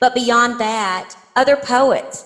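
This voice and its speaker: At a fairly slow pace, a woman talks with an East Texas accent. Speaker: poet. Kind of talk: interview. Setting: podcast.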